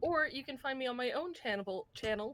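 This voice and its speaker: A woman speaks loudly. Her tone is bright and sharp. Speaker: tabletop roleplaying game player and streamer. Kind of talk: casual chat.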